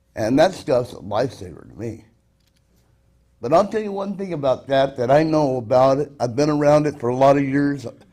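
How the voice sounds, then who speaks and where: This man has an American accent and a fairly high pitch, with a dark, mellow tone. He talks at a fairly quick pace with lively intonation. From Washougal, Washington, US Pacific Northwest. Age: 60s. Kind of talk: public testimony at council meeting. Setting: city council meeting.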